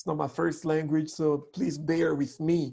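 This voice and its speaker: The speaker has a French accent and a fairly slow pace. The background is quiet. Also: man. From DR Congo. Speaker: communication coach. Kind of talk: online workshop talk.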